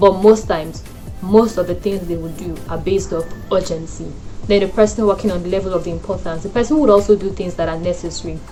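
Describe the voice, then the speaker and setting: A woman at medium pitch and a very fast pace, ordinary pitch variation, big swings in loudness, and music in the background. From Nigeria. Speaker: lifestyle and wellness YouTuber. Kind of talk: casual talk to camera.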